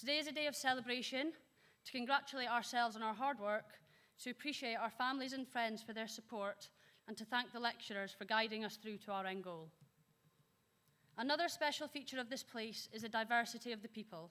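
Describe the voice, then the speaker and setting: The voice has a bright, sharp tone and moves at a very fast pace with ordinary pitch variation. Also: woman, fairly high pitch for a woman. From northern Scotland. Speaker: graduating student speaker. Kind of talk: graduation speech. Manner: formal.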